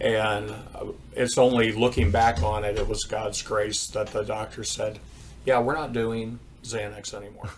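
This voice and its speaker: A man with an American accent at a fairly slow pace, with fairly even intonation and noticeable background noise. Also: medium pitch for a man. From US Midwest, Indiana. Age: 50s. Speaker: church counselor sharing testimony. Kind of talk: testimony.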